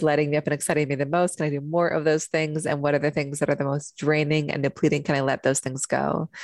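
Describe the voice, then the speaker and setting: Woman with a very deep, low pitch and flat, monotone intonation, with an American accent. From US Pacific Northwest (Seattle). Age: 30s. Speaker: human design expert. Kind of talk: podcast interview.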